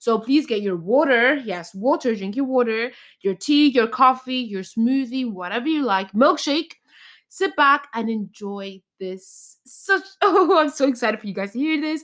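With an Irish accent, a woman talks at a moderate pace in a high pitch, her tone animated and her intonation lively, on a very clean recording with a silent background. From Ireland. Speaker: podcast host. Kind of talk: casual chat.

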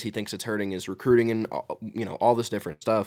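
A man's unremarkable speaking voice at medium pitch, with ordinary pitch variation, on a very clean recording with a silent background. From Georgia, US. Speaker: sports content creator. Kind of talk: casual sports talk.

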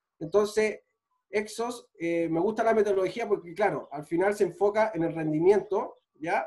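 Speaking with a Chilean accent at a moderate pace, a man uses a high pitch, ordinary pitch variation and a dark, mellow tone. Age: 30s. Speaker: physical trainer and sports physiotherapist. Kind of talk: casual chat.

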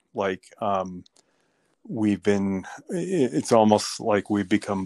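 Very slowly, a man speaks at a fairly low pitch in a dry, close sound with no echo, in a very clean recording with a silent background. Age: 50s. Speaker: teacher interviewed by his daughter. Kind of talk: casual interview. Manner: halting, many fillers.

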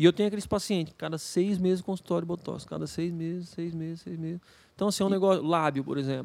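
In a very clean recording with a silent background, a man with a high voice talks at a very fast pace with fairly even intonation. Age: 40s. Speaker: dentist. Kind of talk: casual chat.

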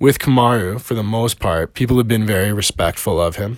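With a Canadian accent and a plain, everyday voice, a man speaks at a fairly low pitch and a moderate pace with ordinary pitch variation, on a very clean recording with a silent background. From Canada. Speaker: personal trainer and MMA fan commentator. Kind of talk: solo video monologue, fight analysis. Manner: casual, with frequent fillers.

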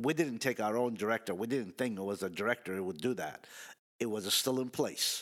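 In an unremarkable speaking voice, a man talks at a fairly quick pace and a medium pitch with ordinary pitch variation, on a very clean recording with a silent background. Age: 60s. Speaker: car dealership employee. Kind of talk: casual chat.

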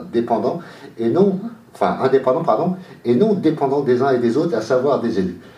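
Fairly quick speech with very wide pitch swings comes through noticeable background noise and audible room echo. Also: man. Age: 50s. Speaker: local election candidate. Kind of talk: radio interview. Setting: radio studio, live.

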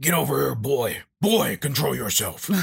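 Someone uses a raspy, put-on character voice at a moderate pace. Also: man, medium pitch for a man. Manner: stern, commanding.

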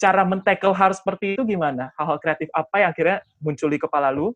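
The background is quiet. The speech moves at a very fast pace. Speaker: talk show host. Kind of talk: casual panel discussion. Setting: video call.

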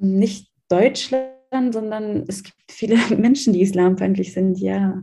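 Speaking very slowly, a woman has a dark, mellow, somewhat breathy tone at a medium pitch. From Germany. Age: 20s. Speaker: student talking about her faith. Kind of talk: interview.

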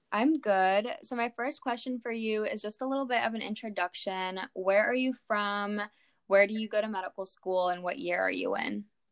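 A normal speaking voice from a woman, fairly high in pitch, at a moderate pace with ordinary pitch variation. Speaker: podcast host, medical student. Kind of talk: casual interview.

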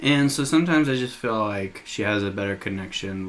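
With an American accent, a man speaks at a moderate pace and a fairly low pitch while music plays in the background. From Nebraska. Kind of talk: casual podcast chat. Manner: casual, mellow, swears a lot.

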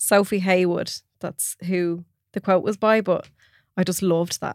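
Against a very clean recording with a silent background, a woman speaks. Her pitch is medium, and she has an Irish accent. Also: dry, close sound with no echo. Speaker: podcast host. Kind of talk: casual chat.

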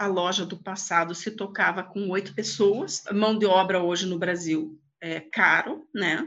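Here a woman speaks at a fairly slow pace in a plain, everyday voice. Her pitch is medium, with ordinary pitch variation. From Brazil, Paraná (Lapa region). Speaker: angel investor, former executive. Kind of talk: casual interview. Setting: video call.

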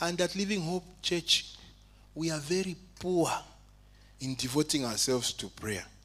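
A man with an animated tone. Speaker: preacher. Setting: church. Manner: animated, fervent, exhortative; humorous, conversational asides.

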